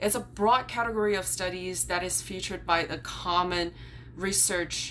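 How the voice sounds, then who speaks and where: A woman with a Chinese accent speaks at a moderate pace, with audible room echo. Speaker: YouTuber and graduate student. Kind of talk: vlog explainer. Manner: casual, some filler words.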